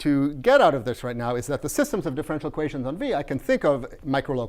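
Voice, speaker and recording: At a fairly high pitch, a man talks at a very fast pace. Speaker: mathematics lecturer. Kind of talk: lecture. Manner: halting, many fillers.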